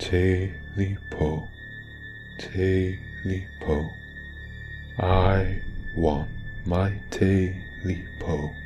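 A man puts on a guttural character voice, talking at a very slow pace with long, frequent pauses. Background noise is clearly audible. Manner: snarling, growling, menacing.

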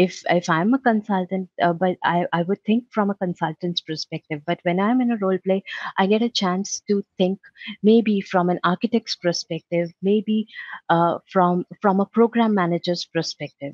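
Recorded dry and close with no echo, a woman speaks at a moderate pace in a fairly low pitch with a slightly mellow tone and ordinary pitch variation.

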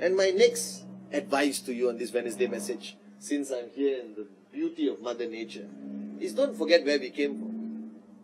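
Noticeable background noise sits behind a man speaking at a moderate pace. His voice has big swings in loudness. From Malaysia, Teluk Intan. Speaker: network marketing executive. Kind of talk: motivational talk. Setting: outdoors. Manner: animated. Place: garden.

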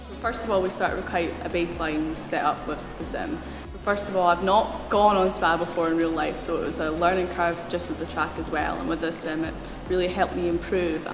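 Over noticeable background noise, a woman talks at a fairly quick pace. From Scotland. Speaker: racing driver. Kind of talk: interview answer. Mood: enthusiastic, grateful.

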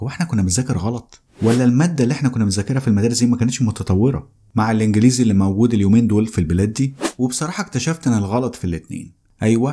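Over light background noise, a man speaks at a very fast pace in a dark, mellow tone of medium pitch with ordinary variation. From Egypt. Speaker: English teacher. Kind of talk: course promo; casual promotional talk to viewers. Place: studio. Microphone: studio mic.

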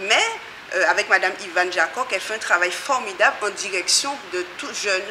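Noticeable background noise runs behind speech that moves fairly quickly, its pitch varying in an ordinary way. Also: woman. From Guadeloupe. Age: 40s. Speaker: community association member. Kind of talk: interview. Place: hall.

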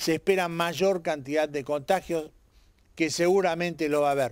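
Against a quiet background, a man with a high-pitched voice talks at a moderate pace with ordinary pitch variation, and the sound is dry with no echo. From Argentina. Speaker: TV host; local TV commentator. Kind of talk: opinion commentary; scripted narration. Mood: serious, questioning. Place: garden. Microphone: handheld.

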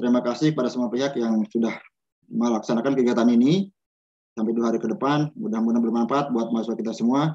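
Very fast speech with ordinary pitch variation and a dark, mellow tone over a quiet background. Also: man. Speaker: college head. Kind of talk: welcome speech. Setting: video call. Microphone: video call.

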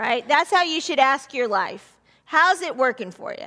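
This woman's voice is raised and projected, with a bright, sharp tone. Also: quiet background. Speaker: pastor. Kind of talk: sermon. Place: church. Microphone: headset.

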